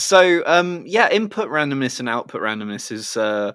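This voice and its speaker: A man uses a normal speaking voice with lively intonation at a moderate pace, on a very clean recording with a silent background. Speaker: game designer. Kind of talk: casual chat.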